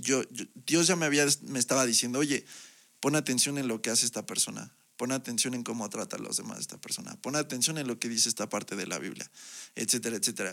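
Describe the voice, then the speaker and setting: Very fast and with vocal fry, a man talks at medium pitch with ordinary pitch variation. The recording is very clean, with a silent background. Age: 20s. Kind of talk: testimony. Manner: halting, with frequent repetitions.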